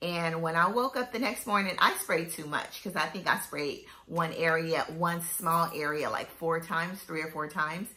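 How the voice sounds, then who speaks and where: Ordinary pitch variation in a woman's fairly low voice, moving at a moderate pace. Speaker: fragrance reviewer. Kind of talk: casual vlog chat. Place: home room. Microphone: phone near.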